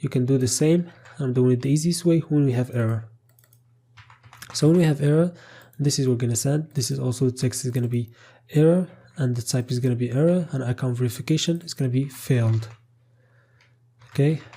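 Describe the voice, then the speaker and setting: A man with a dark, mellow tone speaks at a very fast pace. His voice is somewhat breathy, broken by long, frequent pauses. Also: medium pitch for a man, ordinary pitch variation. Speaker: coding tutorial instructor. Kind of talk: tutorial.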